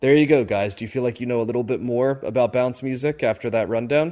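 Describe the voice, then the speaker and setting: With an American accent, a man speaks at a medium pitch. His tone is dark and mellow, with fairly even intonation. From US Northeast. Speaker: music podcast host. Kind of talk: casual podcast album review. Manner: many fillers and repetitions.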